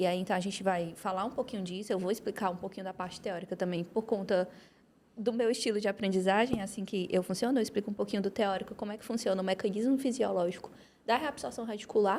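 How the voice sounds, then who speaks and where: A woman speaks very fast at a medium pitch, her intonation fairly even. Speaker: orthodontist and dental professor. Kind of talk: academic podcast discussion.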